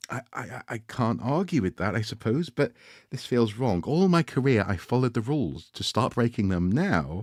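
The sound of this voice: This is an unforced reading voice.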